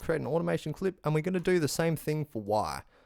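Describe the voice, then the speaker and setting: A man speaks with an Australian accent at a fairly high pitch. The recording is very clean, with a silent background. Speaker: music production tutorial maker. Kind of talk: tutorial. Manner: fast; casual.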